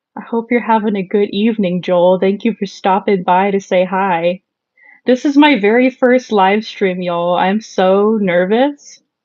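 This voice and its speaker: A woman with an American accent speaks at a fairly slow pace, her medium-pitched voice moving with ordinary pitch variation. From Southern California. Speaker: makeup live streamer. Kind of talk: casual live stream chat. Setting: live stream. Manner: casual, hesitant with fillers.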